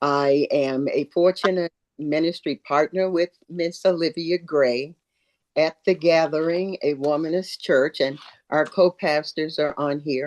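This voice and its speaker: A woman speaks at a fairly slow pace in a very deep, low pitch with fairly even intonation. The sound is dry and close with no echo, over a quiet background. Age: 70s. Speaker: church ministry partner, panelist. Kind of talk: panel discussion introduction.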